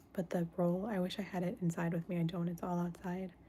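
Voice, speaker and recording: Somewhat breathy, a woman speaks with a medium pitch. Her tone is dark and mellow. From United States. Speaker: stained glass artist and live streamer. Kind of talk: casual livestream chat while crafting. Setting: indoors, live stream. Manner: speaking softer than usual.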